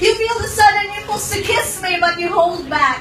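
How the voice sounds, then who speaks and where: A woman's raised, projected voice at an extremely high pitch, with ordinary pitch variation and a moderate pace, over noticeable background noise. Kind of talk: spoken word poetry performance.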